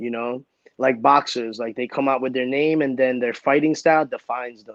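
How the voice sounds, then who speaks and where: Speaking at a moderate pace in a medium pitch, a man with a Brooklyn accent makes big swings in loudness. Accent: New York (Brooklyn). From Brooklyn, New York, US. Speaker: entertainer and comic book creator. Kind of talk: casual chat. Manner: animated.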